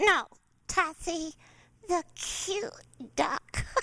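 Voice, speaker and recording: A woman uses a put-on character voice at an extremely high pitch. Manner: playful, cheeky.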